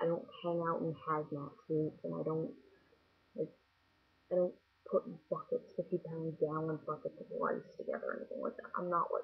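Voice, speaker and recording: Noticeable background noise sits behind a woman talking at a moderate pace. She has an American accent. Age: 20s. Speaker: vlogger. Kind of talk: casual vlog monologue. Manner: casual, hesitant with fillers.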